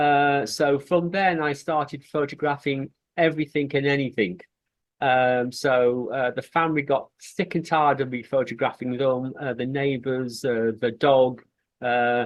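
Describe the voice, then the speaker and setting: Fairly even in intonation, a man talks at a fairly slow pace. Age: 60s. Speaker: street photography group founder, retired mental health nurse. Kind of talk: interview. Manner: hesitant, many fillers.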